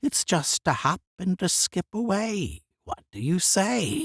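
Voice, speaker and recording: A croaky, put-on character voice speaks at a fairly slow pace. The recording is very clean, with a silent background. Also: man. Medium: read story.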